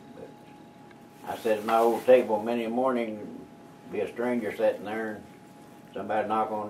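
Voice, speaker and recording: The man talks in an Oklahoma accent at a fairly low pitch. His intonation is monotone and flat, and his pace is moderate. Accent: rural Oklahoma. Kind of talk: storytelling interview answer. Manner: casual, folksy.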